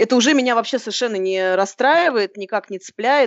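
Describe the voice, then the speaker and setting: The woman's intonation is lively. She speaks at a very fast pace. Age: 30s. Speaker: author and blogger on dating. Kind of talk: casual chat. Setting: video call.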